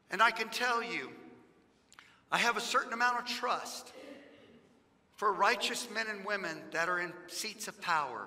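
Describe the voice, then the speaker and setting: With a raised, projected voice, a man talks at a moderate pace in a high pitch, using ordinary pitch variation and long, frequent pauses. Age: 50s. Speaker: pastor. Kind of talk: fiery political sermon, pounding the pulpit with repetition. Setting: church sanctuary, live-streamed. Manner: impassioned and insistent, stacking repeated phrases for emphasis; folksy and joking with the congregation. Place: church. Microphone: headset.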